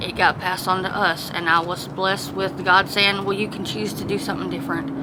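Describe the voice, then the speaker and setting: A woman with a Southern accent talks over noticeable background noise, with audible echo in the room. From US South, South Georgia. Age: 40s. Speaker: homeless woman, former pastor. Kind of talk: interview testimony.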